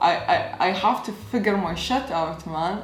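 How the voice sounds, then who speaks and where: Over noticeable background noise and audible room echo, a woman with an Arabic accent speaks at a very slow pace in a medium pitch. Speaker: YouTuber. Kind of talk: casual vlog talk. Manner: casual, conversational.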